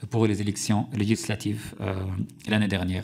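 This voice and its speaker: This is a man with an Arabic accent. His pitch is fairly low. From Syria. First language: Arabic (speaking French). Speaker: journalist and author. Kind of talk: parliamentary hearing testimony. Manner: halting, many hesitations.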